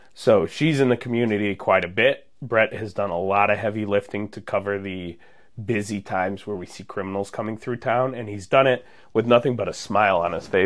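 A man with an American accent uses a normal speaking voice, pitched fairly low, with fairly even intonation and big swings in loudness. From Munster, Indiana (northwest Indiana). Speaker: police officer. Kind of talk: casual interview.

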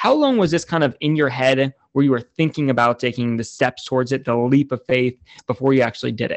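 Delivered very fast, the talking holds a fairly even intonation. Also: man, medium pitch for a man. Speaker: podcast host. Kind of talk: interview conversation.

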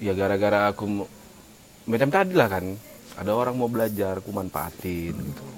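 This man's fairly low voice goes at a fairly quick pace with ordinary pitch variation, and noticeable background noise is present. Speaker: podcast co-host. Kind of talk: casual chat. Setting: coffee shop.

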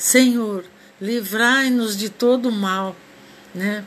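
Very slowly, a woman speaks in a fairly high voice with fairly even intonation. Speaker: amateur radio host. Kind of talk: informal monologue, religious reflection. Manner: halting.

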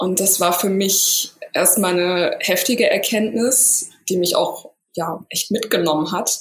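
A woman talks at a fairly slow pace with an unremarkable speaking voice. Her pitch is medium, with ordinary pitch variation. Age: 30s. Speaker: yoga teacher and somatic coach. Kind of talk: interview.

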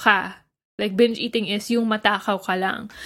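A woman with an ordinary speaking voice, fairly high-pitched, speaks at a moderate pace on a very clean recording with a silent background. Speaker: nutritionist and dietitian. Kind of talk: casual podcast chat.

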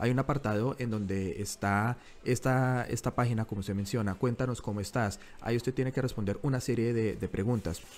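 The speech runs at a fairly quick pace. Its intonation stays fairly even. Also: man, medium pitch for a man. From Colombia, Bogotá. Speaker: journalist and podcast co-host. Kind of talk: casual news discussion. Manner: halting, with frequent repetitions.

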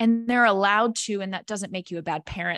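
In a very clean recording with a dry, close sound, no echo and a silent background, a woman with an ordinary speaking voice talks at a medium pitch with ordinary variation. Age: 30s. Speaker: wellness coach. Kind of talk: casual chat.

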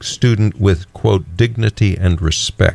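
At a fairly slow pace, an ordinary speaking voice with an American accent carries ordinary pitch variation. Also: man. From Texas. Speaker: radio host. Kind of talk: casual chat.

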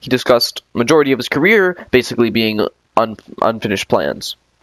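A man talks with an ordinary speaking voice. His pitch is medium and his pace moderate. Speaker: podcast host. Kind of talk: interview, casual chat.

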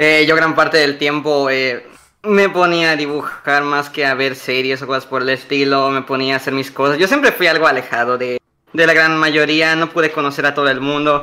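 The voice has a bright, sharp tone, moving at a moderate pace with fairly even intonation. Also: man, fairly high pitch for a man. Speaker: former show member. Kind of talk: casual chat.

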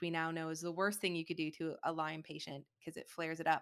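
A woman with an American accent, fairly low pitch, fairly quick pace and monotone, flat intonation, on a very clean recording with a silent background. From Michigan. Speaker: functional medicine doctor. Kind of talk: interview.

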